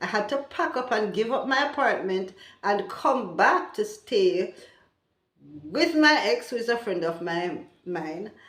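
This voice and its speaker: Audible room echo surrounds a woman who speaks at a fairly slow pace with a fairly high pitch and very wide pitch swings. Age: 60s. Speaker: vlogger. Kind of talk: casual vlog talk.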